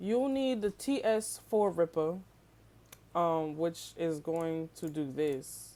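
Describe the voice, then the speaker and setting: A woman speaks at a very slow pace with lively intonation, her dark, mellow tone sitting at a fairly low pitch. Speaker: YouTuber, game tutorial creator. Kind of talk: tutorial. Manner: casual, filler-heavy.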